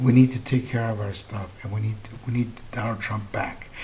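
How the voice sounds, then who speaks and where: A man talks at a moderate pace in a medium pitch, sounding somewhat breathy. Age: 60s. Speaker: political commentary host. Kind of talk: political commentary monologue. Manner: animated.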